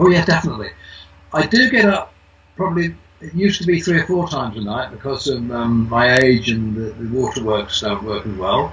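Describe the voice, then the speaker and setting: A man talks at a fairly quick pace in a medium pitch, with very wide pitch swings. Noticeable background noise runs beneath him. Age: 80s+. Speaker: testimonial giver, retired businessman. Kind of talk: testimony. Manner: halting, repeats words.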